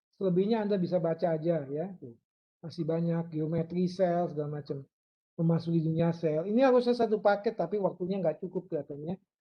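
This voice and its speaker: Speaking at a very fast pace, a man with a high pitch uses ordinary pitch variation. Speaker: university lecturer. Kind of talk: lecture. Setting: online live class.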